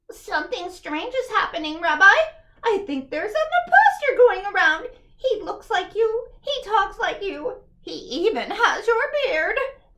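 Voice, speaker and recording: A squeaky, put-on character voice that sounds female hits an extremely high pitch at a moderate pace. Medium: read story. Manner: warm, chatty.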